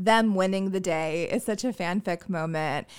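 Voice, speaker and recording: In a plain, everyday voice, a woman with an American accent talks at a moderate pace, her medium pitch carrying lively intonation over a very clean recording with a silent background. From US South. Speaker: comedy writer and performer. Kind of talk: casual chat.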